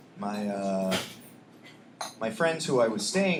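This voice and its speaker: A quiet man talks at a fairly slow pace with lively intonation, amid noticeable background noise and audible room echo. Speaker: poet. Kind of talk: poetry reading; casual chat. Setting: stage with audience. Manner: quiet indoor voice; halting.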